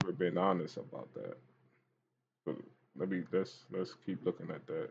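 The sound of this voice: Husky and rough-edged, with vocal fry, the voice moves at a moderate pace with ordinary pitch variation. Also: man, low pitch for a man.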